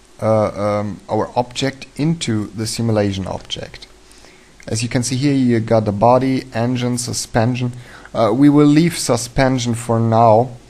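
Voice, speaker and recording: Speaking at a fairly slow pace, a man with a German accent keeps his intonation fairly even. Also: medium pitch for a man. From Germany. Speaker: 3D animation tutorial maker. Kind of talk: tutorial. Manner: halting, many fillers.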